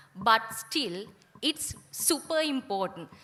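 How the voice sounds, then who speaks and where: Over noticeable background noise, a woman with a Sri Lankan accent speaks very slowly, her pitch swinging very widely. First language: Sinhala. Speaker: guest speaker. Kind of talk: ceremony speech.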